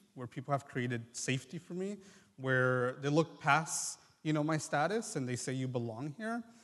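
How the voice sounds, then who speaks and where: A man with a Mexican accent speaks at a fairly high pitch. His pace is moderate and his intonation lively. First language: Triqui. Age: 20s. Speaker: medical student. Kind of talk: testimony. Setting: church service with congregation.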